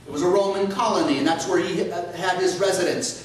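A man's high-pitched voice in strong room echo. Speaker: priest. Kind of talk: sermon. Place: church. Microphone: camera far.

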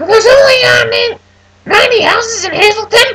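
This put-on character voice sits at an extremely high pitch. It moves at a fairly slow pace. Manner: mocking.

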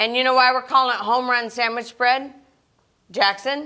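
Against a quiet background, a woman uses a raised, projected voice with a bright, sharp tone. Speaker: cooking show host. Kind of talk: children's TV presenting. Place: studio.

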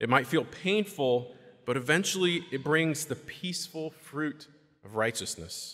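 A bright, sharp tone with lively intonation comes at a fairly slow pace over a quiet background. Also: man, fairly high pitch for a man. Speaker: deacon. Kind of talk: homily. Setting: church. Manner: earnest; conversational, measured. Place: church. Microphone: podium.

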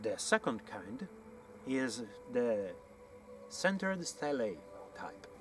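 A strong Italian accent carries very wide pitch swings. The sound is dry with no echo, over light background noise. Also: man. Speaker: amateur archaeology researcher and author. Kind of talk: educational talk to camera on site. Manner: hesitant, with frequent fillers. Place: open country.

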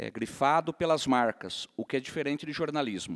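A man talks at an average speed with little sound behind him. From Brazil. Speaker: newspaper editor, panel moderator. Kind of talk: panel moderation. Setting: stage with audience. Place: stage. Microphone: handheld.

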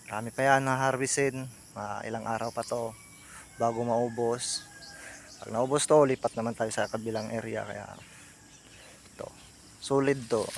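A man talks at medium pitch and a fairly slow pace with long, frequent pauses, fairly even intonation and big swings in loudness, over noticeable background noise. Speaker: water buffalo dairy farmer and vlogger. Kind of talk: casual vlog tutorial. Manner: halting, many fillers.

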